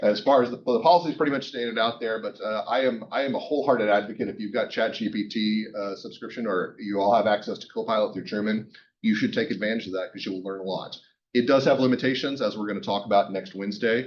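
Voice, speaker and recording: Here a man speaks at a very fast pace. His pitch variation is ordinary. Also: medium pitch for a man. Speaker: university professor. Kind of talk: lecture. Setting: classroom. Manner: casual, joking.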